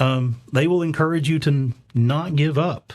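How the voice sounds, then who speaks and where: A man with a Southern US accent speaks at a fairly slow pace with ordinary pitch variation. The recording is very clean, the background silent. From US South. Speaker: conference speaker. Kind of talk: conference talk. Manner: light-hearted, halting with fillers.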